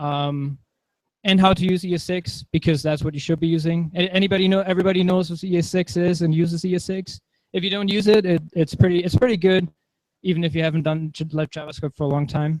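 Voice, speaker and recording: A high-pitched man talks at a very fast pace with fairly even intonation. The sound is dry and close, with no echo. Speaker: conference tech speaker. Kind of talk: tech talk with live demo.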